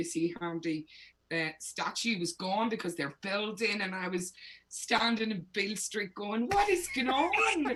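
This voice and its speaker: A woman with a Northern Irish accent at a moderate pace, amid noticeable background noise. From Northern Ireland. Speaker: singer-songwriter. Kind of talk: interview.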